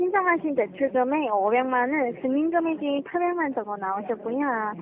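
A woman speaks with a high pitch. Her voice makes very wide pitch swings. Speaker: phone scammer posing as loan agent. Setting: phone line. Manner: scripted sales pitch, drawn-out endings.

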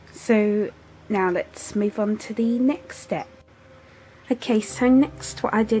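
At a very slow pace, a woman speaks at a medium pitch with ordinary pitch variation over noticeable background noise. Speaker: craft tutorial maker. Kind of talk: craft tutorial voice-over. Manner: casual, modest.

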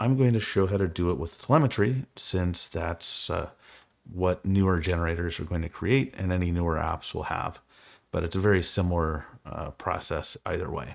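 Over a quiet background, a man with a very deep, low pitch speaks at a moderate pace with ordinary pitch variation. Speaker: programming tutor. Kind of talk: tutorial.

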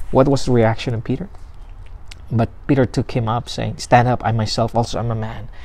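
A man's somewhat breathy, dark, mellow voice at a moderate pace. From Philippines. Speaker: pastor. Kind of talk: sermon. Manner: halting. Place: garden. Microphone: lapel.

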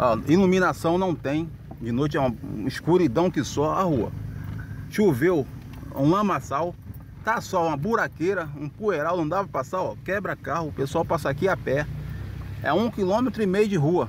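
A man with a high pitch and lively intonation at a moderate pace, long and frequent pauses, light background noise, and a dry sound without echo. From Rio de Janeiro. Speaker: local resident. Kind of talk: street interview. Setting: outdoors. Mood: indignant complaint. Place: car. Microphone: phone near.

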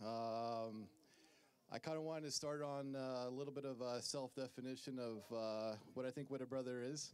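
A man speaks in a warm tone at a moderate pace, with fairly even intonation and very even loudness. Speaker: best man giving a wedding toast. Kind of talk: best man speech, wedding toast with light teasing. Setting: wedding reception in front of guests. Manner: halting, filled with uhs and um, nervous laughter; warm, sincere and joking. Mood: sentimental, slightly nervous. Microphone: handheld.

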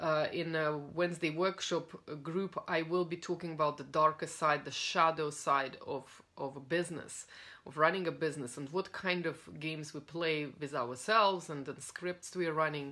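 Her pitch very deep and low, a woman speaks at a moderate pace in a bright, sharp tone with fairly even intonation. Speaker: coach. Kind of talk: casual talk to a coaching audience. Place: home room. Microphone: phone near.

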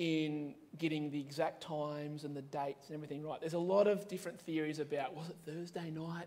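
With an Australian accent, a man speaks at a moderate pace in a fairly high pitch. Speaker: pastor. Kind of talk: sermon. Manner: casual, with many fillers. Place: church.

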